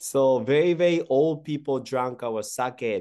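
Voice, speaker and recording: Against a quiet background, a man speaks at a medium pitch. His intonation is lively. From Japan, Kyoto. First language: Japanese. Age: 30s. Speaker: sake brewery CEO. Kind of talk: interview.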